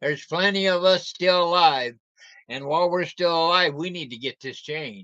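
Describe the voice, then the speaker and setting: Bright and sharp in tone, a man with a high pitch speaks at a moderate pace with ordinary pitch variation and big swings in loudness. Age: 60s. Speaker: livestreamer. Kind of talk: casual livestream talk. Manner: animated.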